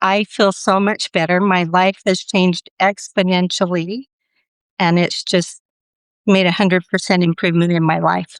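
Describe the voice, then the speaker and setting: The voice keeps a monotone, flat intonation. The sound is dry and close with no echo, on a very clean recording with a silent background. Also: woman, medium pitch for a woman, moderate pace. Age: 60s. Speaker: bariatric surgery patient. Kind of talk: interview testimony.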